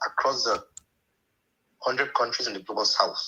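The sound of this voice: A man's bright, sharp tone with a husky, rough edge, at a moderate pace.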